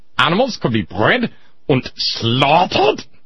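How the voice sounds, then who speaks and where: Over clear background noise, a put-on character voice with a German accent moves at a moderate pace through very wide pitch swings. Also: man, high pitch for a man. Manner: villainous, menacing.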